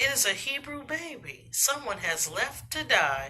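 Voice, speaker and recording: In a put-on character voice, a female-sounding speaker talks at a moderate pace and a high pitch. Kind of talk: bedtime story. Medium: read story.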